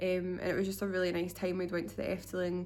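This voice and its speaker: A woman with a Scottish accent at a fairly quick pace, with audible room echo. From Scotland. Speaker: vlogger. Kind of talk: casual vlog monologue. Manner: unscripted, hesitant with fillers.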